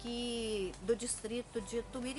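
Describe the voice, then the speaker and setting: Here a woman speaks at a fairly high pitch. Noticeable background noise is present. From Minas Gerais, Brazil (Bom Jesus do Galho area). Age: 60s. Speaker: rural worker and agrarian reform educator. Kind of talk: documentary interview testimony. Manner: halting, with frequent fillers.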